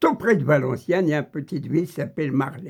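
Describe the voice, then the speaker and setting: A somewhat breathy man with an Algerian accent, fairly high-pitched, ordinary pitch variation. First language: Kabyle (speaking French). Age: old. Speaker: political video commentator. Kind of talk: angry monologue.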